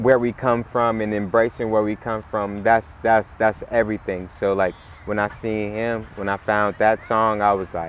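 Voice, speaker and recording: A man's fairly low, monotone, flat voice at a moderate pace, hardly any pauses, over noticeable background noise. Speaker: rapper. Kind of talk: casual chat.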